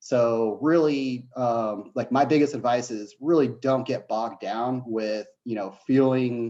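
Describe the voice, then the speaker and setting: Dark and mellow in tone, the man's voice rests at a medium pitch. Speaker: veteran turned software developer. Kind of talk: panel Q&A. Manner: halting, many fillers.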